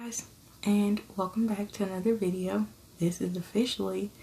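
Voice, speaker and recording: A soft-spoken woman talks at a moderate pace, somewhat breathy. Her tone is dark and mellow, and her intonation fairly even. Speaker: ASMR content creator and parent. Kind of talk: casual storytelling to camera. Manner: somewhat soft, conversational.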